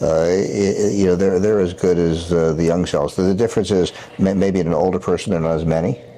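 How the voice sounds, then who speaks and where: A man speaks at a very deep, low pitch with fairly even intonation. Noticeable background noise sits behind him. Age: 70s. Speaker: surgeon, regenerative medicine doctor. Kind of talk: interview. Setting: Chicago, Illinois. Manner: halting, many repetitions and fillers.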